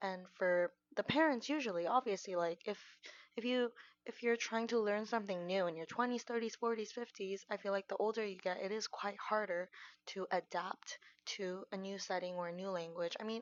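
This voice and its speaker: A woman speaks with a Korean accent. Her pitch sits in the medium range. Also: ordinary pitch variation. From South Korea. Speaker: vlogger. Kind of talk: casual monologue. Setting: at home. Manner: halting.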